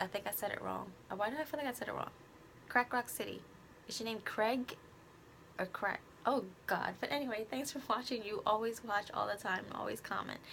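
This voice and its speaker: With vocal fry and a fairly high pitch, a woman talks at a fairly quick pace, using ordinary pitch variation and long, frequent pauses. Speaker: vlogger and beauty youtuber. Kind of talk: casual talk to camera. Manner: halting.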